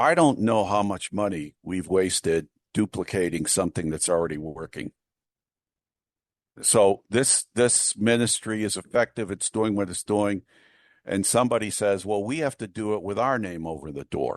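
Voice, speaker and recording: A man with a plain, everyday voice, fairly low in pitch with ordinary pitch variation, at a moderate pace in a dry, close sound with no echo and a quiet background. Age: 60s. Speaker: historian and author. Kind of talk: interview.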